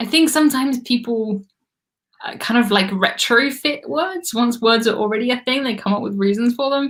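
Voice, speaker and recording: With a bright, sharp tone and fairly high pitch, a woman talks at a moderate pace with ordinary pitch variation. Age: 20s. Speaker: cruise vlogger. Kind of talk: live stream trivia chat. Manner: casual.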